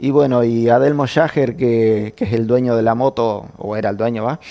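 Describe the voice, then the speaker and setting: A man with an Argentine accent at a moderate pace. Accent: Argentine Spanish (voseo). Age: 60s. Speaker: former motorcycle racer. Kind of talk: interview conversation. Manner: halting, repeats words.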